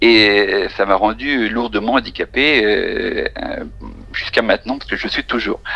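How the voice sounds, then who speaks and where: The pace is fairly slow, and noticeable background noise runs throughout. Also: man. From France, Charente-Maritime. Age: 50s. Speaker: countertenor singer. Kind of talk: interview. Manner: halting.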